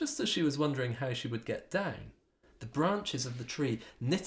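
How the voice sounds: This natural reading voice moves with lively intonation.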